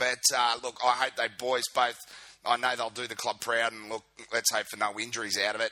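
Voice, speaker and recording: This man has a bright, sharp tone and an Australian accent. He speaks at a moderate pace with a medium pitch. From Queensland, Australia. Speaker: fan club video podcast host. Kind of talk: casual video podcast monologue. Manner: informal, filler-heavy.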